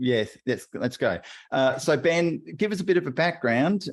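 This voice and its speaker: The intonation of this man is lively. He speaks with an Australian accent. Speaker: podcast co-host. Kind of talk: casual interview chat.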